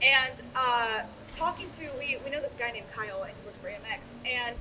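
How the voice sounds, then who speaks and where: Through noticeable background noise, a woman with a high pitch speaks at a moderate pace with ordinary pitch variation. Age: 20s. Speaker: AV technician and installer. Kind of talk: casual chat. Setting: live at a trade show.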